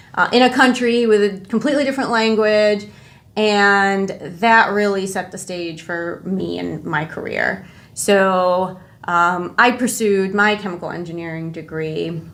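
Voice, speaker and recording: The woman's voice is medium in pitch with ordinary pitch variation. She speaks at a fairly slow pace, and room echo is audible. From northwest Indiana / Chicago area (Lansing, Illinois), born in Jordan. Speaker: chemical engineer, corporate manager. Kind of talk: podcast interview.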